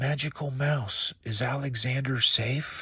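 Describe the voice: Whispering in a put-on character voice, a man speaks shakily at a fairly slow pace.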